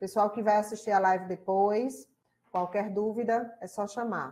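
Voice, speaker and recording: With a Rio Grande do Norte accent, a woman speaks fairly slowly at a fairly high pitch with ordinary pitch variation. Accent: Rio Grande do Norte (northeastern Brazilian). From Rio Grande do Norte, Brazil. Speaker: college lecturer and tutor. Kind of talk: online class live stream welcome. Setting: live stream online class. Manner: casual, conversational.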